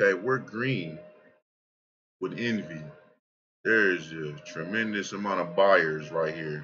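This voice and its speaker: A man's very deep, low voice at a very slow pace, long, frequent pauses and audible room echo. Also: ordinary pitch variation. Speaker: crypto trading youtuber. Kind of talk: market analysis screen-share commentary. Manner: casual, filler-heavy.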